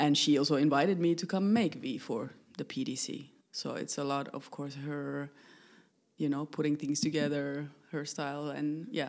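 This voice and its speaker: A woman speaks in a very deep, low voice with ordinary pitch variation at a moderate pace. The recording is very clean, with a silent background. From Finland. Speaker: choreographer and theater maker. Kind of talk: casual interview. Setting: at her home.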